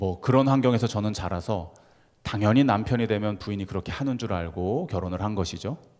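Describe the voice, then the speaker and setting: A man talks fairly fast, his pitch varying in a normal way. Nothing can be heard behind him on this very clean recording. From Gyeongsang region, South Korea. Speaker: pastor. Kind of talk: sermon.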